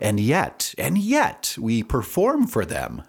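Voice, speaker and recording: A man speaks with an American accent. Vocal fry runs through his voice. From US Midwest, central Wisconsin. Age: 40s. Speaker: podcast host and singer-songwriter. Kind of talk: casual solo monologue. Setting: home studio. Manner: hesitant, many fillers.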